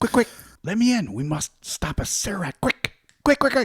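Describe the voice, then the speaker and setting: Whispering at a moderate pace, a man does a put-on character voice. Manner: whispering, urgent.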